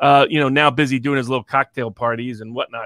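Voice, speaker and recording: With a plain, everyday voice, a man of medium pitch speaks at a fairly quick pace with fairly even intonation, in a dry, close sound with no echo against a quiet background. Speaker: co-host, interviewer. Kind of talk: interview questioning. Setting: online livestream.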